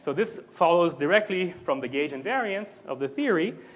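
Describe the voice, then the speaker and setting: A man speaks at a high pitch and fairly quick pace with very wide pitch swings. Audible room echo is present. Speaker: physics lecturer. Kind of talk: lecture. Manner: fast.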